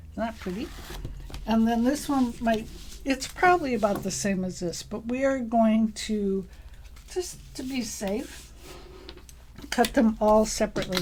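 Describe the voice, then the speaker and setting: Soft-spoken and fairly high in pitch, a woman talks at a fairly slow pace with ordinary pitch variation and long, frequent pauses. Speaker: sewing shop presenter. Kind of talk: live craft tutorial. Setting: livestream in craft room. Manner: casual, chatty.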